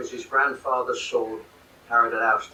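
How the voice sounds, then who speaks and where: A man speaks with a London accent at a fairly quick pace. Audible room echo surrounds his voice. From London, England. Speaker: military history author and speaker. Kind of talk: lecture. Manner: halting.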